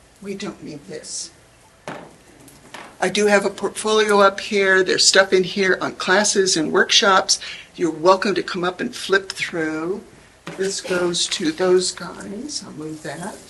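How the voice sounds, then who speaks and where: Speaking at a fairly slow pace, a woman keeps a medium pitch and fairly even intonation while her loudness swings widely. Noticeable background noise is present. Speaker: pastel artist giving a demonstration. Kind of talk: live art demonstration. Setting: room with live audience. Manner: chatty, humorous.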